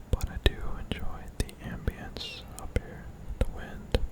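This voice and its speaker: Someone whispers at a very slow pace in an intense tone, with noticeable background noise. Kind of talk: ASMR gameplay commentary. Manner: close whispering, slightly intense.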